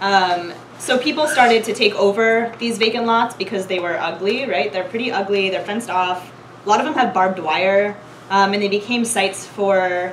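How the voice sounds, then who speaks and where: Over light background noise, a woman talks at a moderate pace, her pitch varying in an ordinary way. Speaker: presenter. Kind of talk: lecture. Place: classroom. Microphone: camera far.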